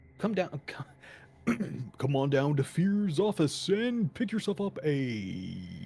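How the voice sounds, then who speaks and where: A put-on character voice at a middle pitch swings very widely in pitch and leaves long, frequent pauses. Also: fairly slow pace. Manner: charismatic, salesy.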